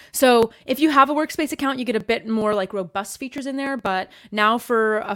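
On a very clean recording with a silent background, a woman with a Canadian accent speaks in an animated tone at a moderate pace with ordinary pitch variation. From Canada. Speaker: YouTuber, productivity app reviewer. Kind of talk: casual interview chat. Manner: animated, laughs often.

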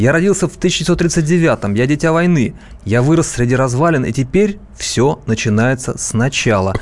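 A man talks at a fairly slow pace in a medium pitch. It is a plain, everyday voice. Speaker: co-host, newsroom politics editor. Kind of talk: radio talk show discussion. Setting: radio studio.

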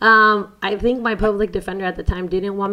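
Bright, sharp-toned woman's voice in an American accent. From San Diego, California, after early childhood in Mexico. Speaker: formerly incarcerated law student and advocate. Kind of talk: interview. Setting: university building.

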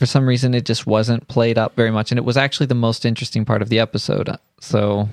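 A man's medium-pitched, monotone, flat delivery at a very fast pace with very even loudness. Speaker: podcast co-host. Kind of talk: casual chat.

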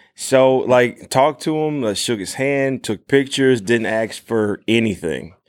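This man has a plain, everyday voice with ordinary pitch variation. He speaks at a moderate pace in a very clean recording with a silent background. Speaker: cosplayer. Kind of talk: casual chat. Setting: convention with live audience.

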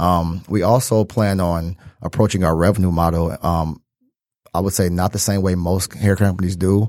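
On a very clean recording with a silent background, a man with an American accent speaks in a very deep, low voice at very even loudness with fairly even intonation. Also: moderate pace. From Detroit. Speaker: entrepreneur, hair care business co-founder. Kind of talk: interview.

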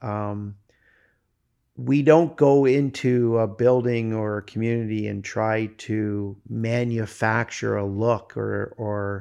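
Against a quiet background, a man with a Canadian accent speaks at a fairly low pitch with fairly even intonation. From Ontario, Canada (Newmarket). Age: 50s. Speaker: brewery owner. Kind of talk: interview. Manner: hesitant, many fillers.

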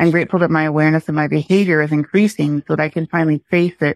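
Fairly quick and fairly even in intonation, a woman with a normal speaking voice and fairly low pitch talks over a quiet background in a dry, close sound with no echo. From US Midwest. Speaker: listener.

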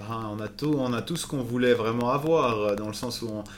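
A man with a normal speaking voice talks at a moderate pace and medium pitch with fairly even intonation. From Switzerland, Valais. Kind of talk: casual interview. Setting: recorded over a few beers.

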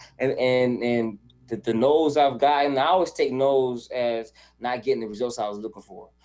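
With music in the background, a man in an American accent speaks at medium pitch with ordinary pitch variation. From US South, Charlotte, North Carolina. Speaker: content creator and video editor. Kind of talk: casual interview chat.

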